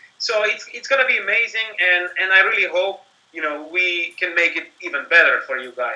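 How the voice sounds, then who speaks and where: A man speaks in a high pitch at a fairly quick pace over noticeable background noise. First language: not English. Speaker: company marketing executive. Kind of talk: interview. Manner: animated.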